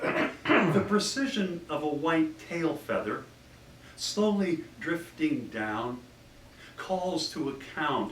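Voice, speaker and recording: A man speaks at a very slow pace and fairly high pitch with very wide pitch swings. Noticeable background noise and audible room echo surround him. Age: 60s. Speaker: poet. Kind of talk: poetry reading.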